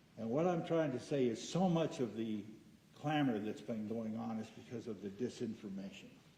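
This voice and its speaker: Over noticeable background noise, a man speaks at a medium pitch and a moderate pace with lively intonation. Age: 70s. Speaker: public commenter at school board meeting. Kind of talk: public comment speech. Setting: school board meeting.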